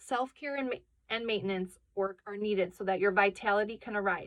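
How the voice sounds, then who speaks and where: The speaker is a woman. Her pitch is medium, with ordinary variation. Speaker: tarot card reader. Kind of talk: tarot reading. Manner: fast.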